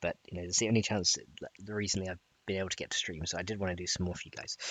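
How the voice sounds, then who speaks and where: A quiet man with a very deep, low pitch, monotone and flat, at a very fast pace. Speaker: gaming streamer teaching modding. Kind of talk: live-streamed coding tutorial. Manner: talking quietly.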